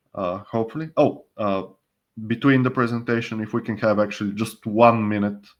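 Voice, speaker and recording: A man talks at a moderate pace. His pitch is fairly low, with fairly even intonation. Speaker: online training presenter. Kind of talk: online presentation.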